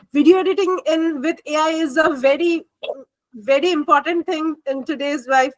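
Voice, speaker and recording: A woman talks at a fairly slow pace with a Bengali accent. Her pitch variation is ordinary. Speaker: MBA student. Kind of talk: group discussion.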